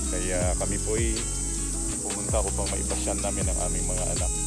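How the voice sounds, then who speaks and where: Moderate-paced speech over loud background music. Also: man, dry sound with no echo. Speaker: family travel vlogger. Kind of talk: casual vlog chat. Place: garden. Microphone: phone near.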